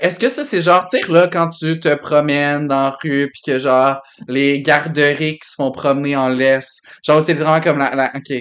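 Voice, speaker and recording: Speaking at a moderate pace, the man has a fairly high-pitched voice. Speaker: podcast co-host. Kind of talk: casual chat. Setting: basement home studio. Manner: animated; loud.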